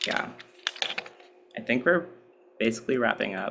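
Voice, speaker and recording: A man speaks at a moderate speed, his pitch varying in an ordinary way, amid noticeable background noise. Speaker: workshop presenter. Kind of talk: workshop talk. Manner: casual, many filler words.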